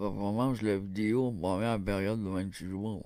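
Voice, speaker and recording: Mumbling in a put-on character voice, a man speaks at a moderate pace and a fairly low pitch. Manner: mocking, exaggerated.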